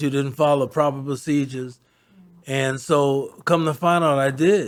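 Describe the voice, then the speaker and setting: This man has a fairly high voice and talks at a moderate pace. His intonation is monotone and flat. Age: 70s. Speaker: church member giving a testimony. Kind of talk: testimony. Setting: church. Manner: halting, with many fillers.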